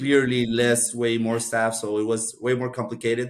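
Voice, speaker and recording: With a Spanish accent, a man speaks at a moderate pace and medium pitch. His intonation stays monotone and flat. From Costa Rica. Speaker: MBA graduate. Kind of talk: podcast interview.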